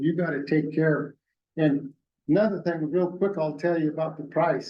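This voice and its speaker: Speaking with an American accent, a man uses a fairly high pitch and a monotone, flat intonation. His pace is moderate and his loudness very even. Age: 80s+. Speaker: guest ranch owner. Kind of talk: public meeting presentation. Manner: folksy, conversational.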